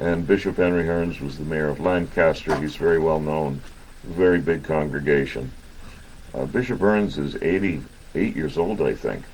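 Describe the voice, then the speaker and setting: A man's very deep, low voice at a moderate pace, with ordinary pitch variation and audible room echo. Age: 60s. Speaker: army veteran and medical group representative. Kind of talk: radio interview.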